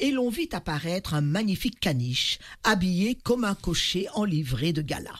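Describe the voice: Lively intonation in plain reading aloud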